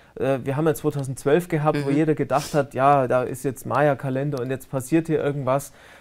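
A man speaks with a Bavarian accent and a fairly high pitch. The background is quiet. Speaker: online talk show host; talk show host. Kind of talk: interview. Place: studio.

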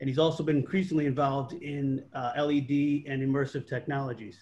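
A man speaks at a fairly quick pace with fairly even intonation. His voice is somewhat breathy. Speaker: panel host. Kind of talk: panel introduction. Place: home room. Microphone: video call.

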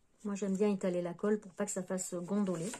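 Her voice sits at a medium pitch with a dark, mellow tone, and the woman speaks at a fast pace with little pitch movement.

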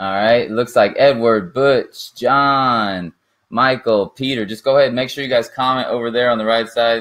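The intonation is fairly even. The background is quiet. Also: man. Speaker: online marketer hosting a livestream. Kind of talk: casual livestream chat. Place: home room. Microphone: camera far.

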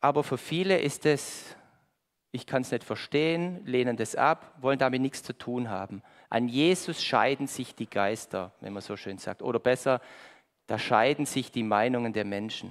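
A man speaks in an animated tone at a moderate pace with ordinary pitch variation. The background is quiet. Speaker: preacher. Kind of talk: sermon with audience interaction, riddle, Bible reading. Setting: church with congregation. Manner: animated, conversational, lively; warm, pleading at the close. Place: church.

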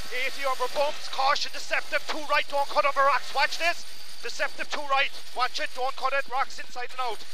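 A man speaks at an extremely high pitch with monotone, flat intonation. The sound is dry with no echo, though noticeable background noise is present. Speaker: rally co-driver. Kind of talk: rapid-fire rally pacenotes read over in-car intercom at full speed. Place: car. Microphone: headset.

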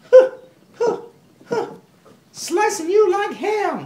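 An extremely high-pitched, cartoonish character voice talks at a very slow pace. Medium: puppet. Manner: playful, energetic.

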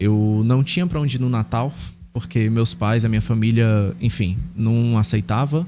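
This man has a dark, mellow tone at a medium pitch, with ordinary pitch variation and a moderate pace. His loudness is very even, and there is noticeable background noise. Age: 30s. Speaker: pastor. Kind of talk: interview testimony. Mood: earnest, personal storytelling. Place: studio. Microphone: studio mic.

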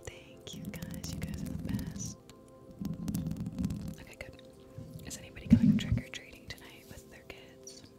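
A woman whispers at a moderate pace, leaving long, frequent pauses. Her loudness swings widely over loud music in the background. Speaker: ASMR livestream host. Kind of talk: ASMR livestream. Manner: soft-spoken, whispered. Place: home room. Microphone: studio mic.

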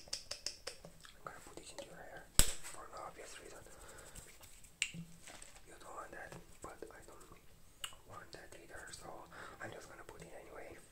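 Whispering at a fairly slow pace, a man leaves long, frequent pauses, his loudness swinging widely. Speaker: ASMR artist; ASMR creator. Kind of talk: ASMR roleplay with personal attention, talking to camera. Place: bathroom.

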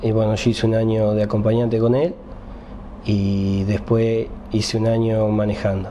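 A man speaks at a moderate pace, with light background noise behind him. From Argentina. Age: 30s. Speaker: racing driver. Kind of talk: interview. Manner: halting. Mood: calm, pleased.

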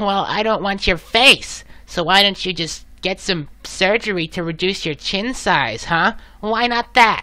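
Someone in a put-on character voice speaks at a middle pitch and a fairly slow pace. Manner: snarky, insulting, gruff.

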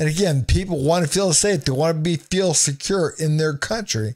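A man at a moderate pace with lively intonation against a quiet background. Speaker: remote guest or commentator. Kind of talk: political commentary. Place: home room. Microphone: studio mic.

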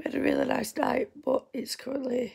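A woman with a Yorkshire accent, at a moderate pace. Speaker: vlogger. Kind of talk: vlog. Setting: at home.

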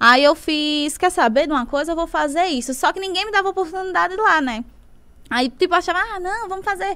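A woman's raised, projected voice, extremely high-pitched, bright and sharp, animated, with lively intonation at a fairly quick pace. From Brazil, Natal (Northeast); Northeast Brazil. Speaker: singer and dancer, social media influencer; social media influencer. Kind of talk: podcast interview, casual storytelling. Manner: fast. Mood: lively, animated storytelling. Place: studio. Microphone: studio mic.

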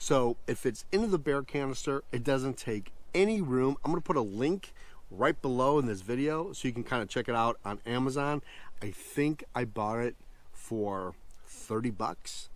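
The sound is dry, with no echo. A man speaks at a moderate pace with lively intonation. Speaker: camping vlogger. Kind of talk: casual vlog chat. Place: forest. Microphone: phone near.

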